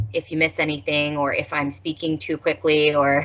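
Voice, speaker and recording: Over noticeable background noise, a woman with an American accent speaks in a very deep, low pitch. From Detroit, Michigan. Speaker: university staff administrator. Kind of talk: orientation presentation. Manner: fast; casual.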